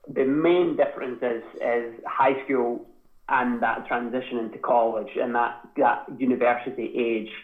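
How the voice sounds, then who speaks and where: Audible room echo follows a man as he talks fairly slowly. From Scotland, Edinburgh. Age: 20s. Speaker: Olympic middle-distance runner. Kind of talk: casual interview.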